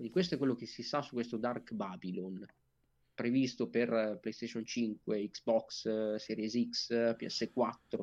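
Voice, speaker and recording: This man talks at a very slow pace, his pitch in the medium range. His pitch varies in an ordinary way. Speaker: gaming podcast co-host. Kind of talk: casual chat. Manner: professorial, explanatory.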